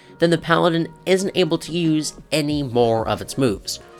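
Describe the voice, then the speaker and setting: Speech moves at a fairly slow pace. Music plays in the background. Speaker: gaming video creator. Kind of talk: game commentary narration.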